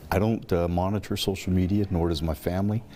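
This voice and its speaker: A man with an American accent speaks at a fairly quick pace in a very deep, low pitch, his tone dark and mellow and his intonation fairly even. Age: 60s. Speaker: police chief. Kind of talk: TV interview. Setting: city hall. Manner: halting, many fillers.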